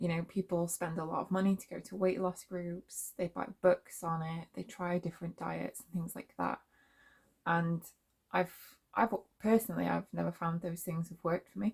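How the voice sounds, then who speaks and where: A woman with a British accent speaks in a somewhat breathy voice. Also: moderate pace. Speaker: vlogger. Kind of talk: casual monologue. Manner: hesitant, many fillers.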